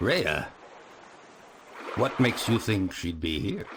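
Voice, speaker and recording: Over clear background noise, a man uses a put-on character voice with a very deep, low pitch. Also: fairly slow pace. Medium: video game. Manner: warm, familiar.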